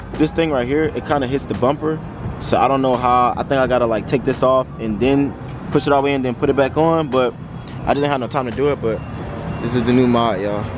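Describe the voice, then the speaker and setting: Music plays in the background as a man talks at a very fast pace with ordinary pitch variation, the sound dry with no echo. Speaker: car vlogger. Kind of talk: casual vlog chat. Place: street. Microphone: phone near.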